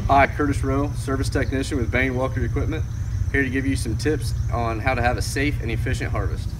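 Amid noticeable background noise, a man talks at a very fast pace. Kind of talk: tutorial. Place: farm machine.

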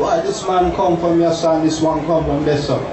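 A high-pitched man over noticeable background noise. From Jamaica. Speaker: university professor and event organizer. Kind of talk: public speech at civic ceremony. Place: tent.

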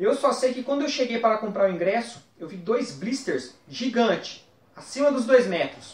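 The recording carries audible room echo. A man with a high pitch speaks at a moderate pace with ordinary pitch variation. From interior of São Paulo state, Brazil (Marília); São Paulo state, Brazil. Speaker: toy collector; guest. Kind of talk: personal reminiscence to camera. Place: home room.

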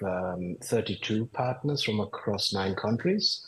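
This man's voice is fairly low and somewhat breathy. His pitch varies in an ordinary way. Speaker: urology professor. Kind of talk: interview. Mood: calm, explanatory. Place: home room. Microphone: video call.

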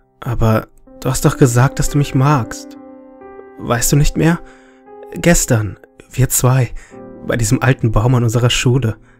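Here a man speaks at a fairly slow pace with long, frequent pauses. Music plays behind him. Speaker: creepypasta narrator. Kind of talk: horror story narration.

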